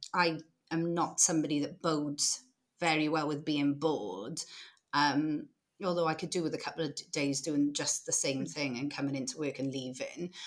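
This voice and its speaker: On a very clean recording with a silent background, the speech moves at a moderate pace with fairly even intonation. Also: woman, very deep, low pitch for a woman. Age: 30s. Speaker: social enterprise founder, former social worker. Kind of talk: casual interview.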